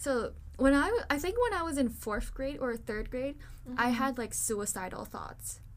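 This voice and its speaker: This woman has a Chinese accent and a high pitch, with lively intonation. She talks at a moderate pace over noticeable background noise. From Taiwan. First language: Mandarin Chinese. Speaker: podcast host. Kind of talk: casual chat.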